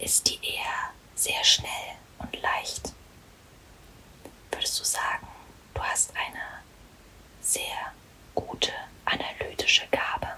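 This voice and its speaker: Against noticeable background noise, a woman whispers at a very slow pace with long, frequent pauses. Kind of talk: ASMR roleplay, whispered hotel receptionist. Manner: whispered, soft-spoken.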